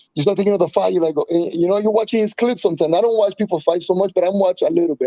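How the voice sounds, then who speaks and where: A man with a Spanish accent talks at a very fast pace in a high pitch with ordinary pitch variation. His tone is dark and mellow, and the sound is dry and close with no echo. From Colombia. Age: 30s. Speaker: professional MMA fighter. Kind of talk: casual interview. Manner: fast, halting with frequent repetitions and fillers.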